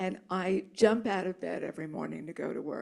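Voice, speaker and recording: A woman with vocal fry speaks at a moderate pace and with ordinary pitch variation. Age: 70s. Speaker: author. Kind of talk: audience Q&A.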